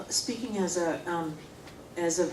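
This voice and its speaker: Against noticeable background noise and audible room echo, a woman speaks at a fairly slow pace in a fairly low pitch. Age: 60s. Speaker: forum participant, parent. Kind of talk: group discussion. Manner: halting.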